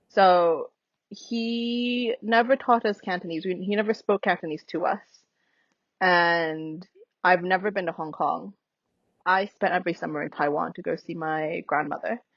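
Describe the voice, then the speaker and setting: A woman with an American accent talks at a moderate pace. Her pitch is medium, with ordinary variation. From US Midwest, Minnesota. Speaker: anthropologist. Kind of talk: casual chat.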